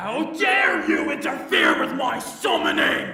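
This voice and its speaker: A man shouts and growls in a put-on character voice at an extremely high pitch. There is a slight echo. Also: fairly slow pace. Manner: snarling, tantrum-like.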